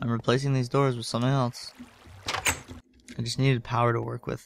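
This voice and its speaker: A man speaks quietly at a moderate pace. His intonation stays fairly even. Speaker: gaming video creator. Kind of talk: gameplay commentary. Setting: home recording late at night. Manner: quiet, low voice. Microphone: new microphone.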